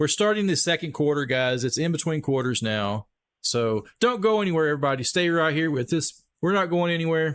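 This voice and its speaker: Speaking at a fairly quick pace with a Texas accent, a man talks at a fairly high pitch with lively intonation and very even loudness. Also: very clean recording, silent background. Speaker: sports livestream host. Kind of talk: live commentary. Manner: animated.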